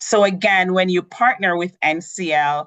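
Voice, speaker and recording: A woman with a Jamaican accent, fairly even intonation and a fairly slow pace, in a dry, close sound with no echo over a quiet background. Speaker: cruise line sales representative. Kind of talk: tutorial.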